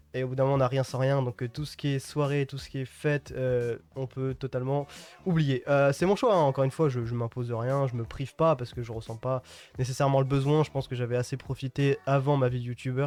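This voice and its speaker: The speaker talks at a very fast pace. The voice carries a Parisian accent. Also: man. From Île-de-France, Yvelines (Mantes-la-Jolie). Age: 20s. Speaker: youtuber. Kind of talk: casual Q&A monologue to viewers. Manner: casual, hesitant with fillers.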